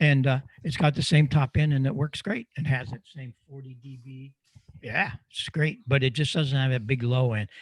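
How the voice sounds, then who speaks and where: In a dry, close recording with no echo, a somewhat breathy man talks at a moderate pace, his loudness swinging widely. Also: medium pitch for a man, ordinary pitch variation. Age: 80s+. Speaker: microphone designer and ham radio presenter. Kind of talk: Q&A in online club meeting.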